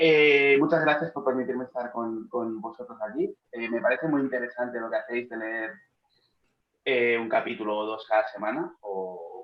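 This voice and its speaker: A man speaks in a medium pitch. He has a strong Catalan accent. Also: ordinary pitch variation, moderate pace. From Catalonia, Spain. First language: Catalan (speaking Spanish). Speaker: philologist and manga editor. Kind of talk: interview. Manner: mumbling, speaks inward.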